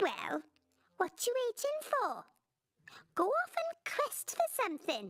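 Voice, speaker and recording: A squeaky, put-on character voice speaks at a fairly slow pace, with long, frequent pauses. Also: female-sounding voice, extremely high pitch for a woman. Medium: video game. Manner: curt, tart.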